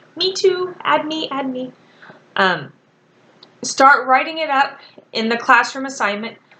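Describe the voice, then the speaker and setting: A woman with a high, raised, projected voice speaks fairly slowly with lively intonation and long, frequent pauses. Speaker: college writing instructor. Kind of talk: recorded class instructions. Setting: recorded video for online class.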